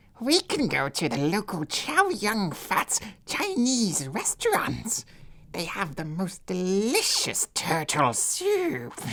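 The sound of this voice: A put-on character voice that sounds female, middle in pitch, at a fairly slow pace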